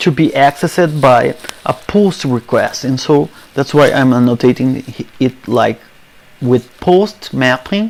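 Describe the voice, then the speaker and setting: A man with a non-native accent speaks fairly slowly with a fairly high pitch and lively intonation. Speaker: software developer. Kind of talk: coding tutorial screencast.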